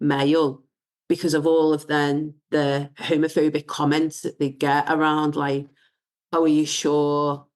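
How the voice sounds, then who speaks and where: Against a quiet background, a woman speaks in a very deep, low pitch at a fairly slow pace, her intonation monotone and flat. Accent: slight Scouse. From northern England, Wirral. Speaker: diversity and inclusion founder. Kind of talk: casual chat.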